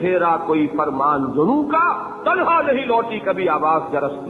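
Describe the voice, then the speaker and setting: A man talks with very wide swings in pitch while music plays in the background. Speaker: Islamic scholar giving a lecture (bayan). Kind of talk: religious sermon, lecture to an audience. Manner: passionate, emotional.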